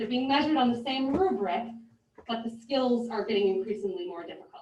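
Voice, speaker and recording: Talking at a very fast pace with lively intonation, a woman with a fairly high voice is heard with audible room echo. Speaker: music teacher. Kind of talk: presentation to school board. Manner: loud.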